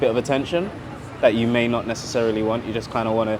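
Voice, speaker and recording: A man talks at a medium pitch with fairly even intonation. Audible room echo and noticeable background noise are present. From Trinidad, moved to Britain as a child in 80s. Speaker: artist and photographer. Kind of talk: panel conversation.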